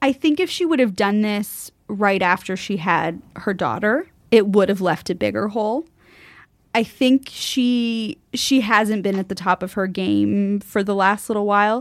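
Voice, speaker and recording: A woman with a plain, everyday voice talks at a fairly slow pace and a medium pitch. Her pitch variation is ordinary, on a very clean recording with a silent background. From Canada. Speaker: sports broadcaster. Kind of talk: casual chat. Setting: studio.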